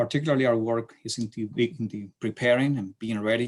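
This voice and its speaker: A man with a Chilean accent at a fairly quick pace, on a very clean recording with a silent background. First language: Spanish. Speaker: city transportation planner. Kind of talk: lecture. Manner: halting.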